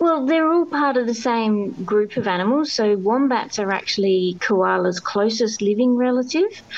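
With an Australian accent and lively intonation, a woman talks at a moderate pace in a fairly high voice, her loudness very even against noticeable background noise. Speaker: biologist and author. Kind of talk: interview. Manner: hesitant, many fillers.

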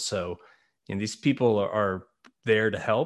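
An unremarkable speaking voice belongs to a man with a fairly low pitch. He keeps a moderate pace and ordinary pitch variation. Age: 30s. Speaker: podcast host, entrepreneur. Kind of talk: interview.

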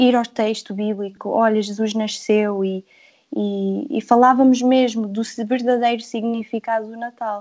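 Her dark, mellow tone sits at a fairly high pitch for this woman. She speaks at a fairly slow pace with monotone, flat intonation. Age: 30s. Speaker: devotional author. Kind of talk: casual chat.

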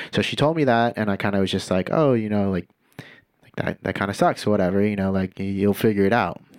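A man with an American accent talks at a very fast pace in a fairly low pitch, with ordinary pitch variation and big swings in loudness, on a very clean recording with a silent background. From Santa Cruz, California. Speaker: musician and label owner. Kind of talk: casual chat.

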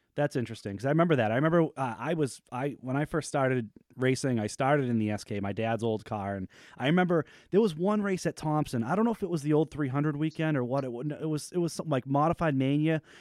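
This man talks very fast in an American accent, his fairly high voice rising and falling in a lively way. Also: dry, close sound with no echo, very clean recording, silent background. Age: 30s. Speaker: podcast host and racer. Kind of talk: casual chat.

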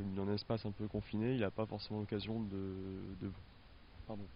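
Fairly low-pitched and fairly even in intonation, a man moves at a fairly quick pace yet takes long, frequent pauses. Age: young. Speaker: animal care assistant. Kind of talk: interview.

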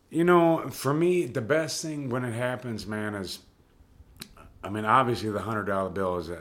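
With lively intonation and a fairly slow pace, a man speaks amid audible room echo. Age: 40s. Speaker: homeless navy veteran. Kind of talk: interview.

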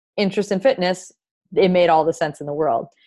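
With an unremarkable speaking voice, a woman talks at a fairly low pitch with ordinary pitch variation against a quiet background. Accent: American. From Wisconsin. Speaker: podcast host, mindset coach. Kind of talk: personal story monologue.

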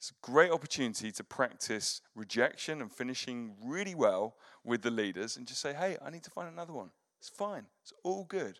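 A man with an English accent talks at a fairly quick pace and medium pitch, with very wide pitch swings and big swings in loudness. The recording is very clean with a silent background. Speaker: pastor. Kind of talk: sermon. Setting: church.

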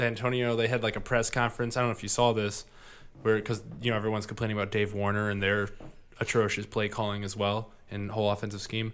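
In a Midwestern US accent, a man rattles off words at a very fast pace, his fairly low voice monotone and flat. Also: very clean recording, silent background. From US Midwest. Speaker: podcast host. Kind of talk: casual chat.

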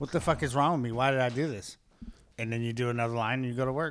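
A man with an American accent talks at a very fast pace, medium in pitch, with fairly even intonation. The recording is very clean, with a silent background. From Henderson, Nevada. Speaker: comedian. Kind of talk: casual chat.

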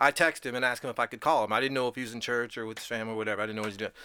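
A man speaks in an animated, bright, sharp tone on a very clean recording with a silent background. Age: 50s. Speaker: amateur race car driver. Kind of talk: casual studio interview. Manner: animated, laughs often while talking.

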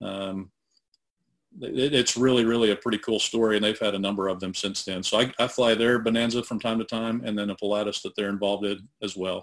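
A man with a fairly low pitch and a monotone, flat delivery at a fairly quick pace. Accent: American. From northeastern Oklahoma, US. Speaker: aircraft broker and pilot. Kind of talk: interview conversation.

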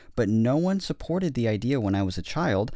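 This is a man talking. He has a normal speaking voice. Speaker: podcast host. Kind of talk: casual chat. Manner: joking, playful.

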